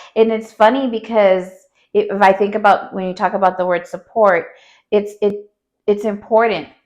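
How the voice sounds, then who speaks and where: A woman with a plain, everyday voice speaks in an American accent. Her medium pitch follows fairly even intonation at a moderate pace. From Texas border, Laredo. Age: 40s. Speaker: community leader and business owner. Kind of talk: interview.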